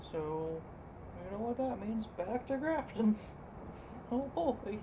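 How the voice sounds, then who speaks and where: Mumbling, a woman speaks at a very slow pace with lively intonation. Her pitch sits fairly high. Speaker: gaming streamer. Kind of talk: gameplay commentary.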